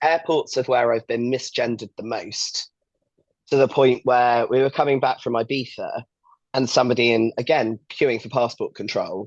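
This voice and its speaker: A man's medium-pitched, a normal speaking voice, fairly even in intonation and at a moderate pace. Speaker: competitive bodybuilder. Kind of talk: casual chat. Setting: podcast.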